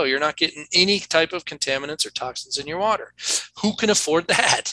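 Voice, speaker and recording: This man has an American accent and a raised, projected voice. His tone is bright and sharp, and the sound is dry and close with no echo. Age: 50s. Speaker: toxicologist. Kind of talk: interview.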